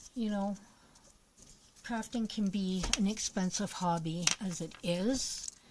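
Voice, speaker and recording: A woman's medium-pitched voice, very slow, with fairly even intonation, long and frequent pauses, and noticeable background noise. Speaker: crafting livestreamer. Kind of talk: live craft stream chat. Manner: casual, chatty; quiet while concentrating.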